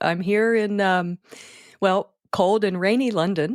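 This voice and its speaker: The recording is very clean, with a silent background and a dry, close sound with no echo. A speaker with a Philadelphia accent talks at a fairly slow pace. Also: woman. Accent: American, Philadelphia. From US, Philadelphia. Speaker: wedding speech writer. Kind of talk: interview.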